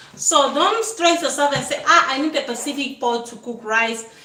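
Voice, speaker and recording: A woman speaks with a high pitch, lively intonation and an animated tone. Audible room echo and noticeable background noise are present in the recording. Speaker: cooking channel host. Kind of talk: cooking tutorial.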